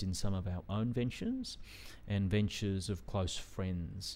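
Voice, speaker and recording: This man speaks at a moderate pace with a fairly low pitch, a dark, mellow tone, fairly even intonation and an Australian accent. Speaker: venture investor and entrepreneur. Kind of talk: interview. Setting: studio.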